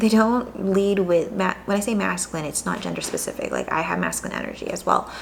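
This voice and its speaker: Noticeable background noise fills the recording. Over it, a woman talks at a very fast pace. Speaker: tarot reader. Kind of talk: tarot reading. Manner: casual, filler-heavy.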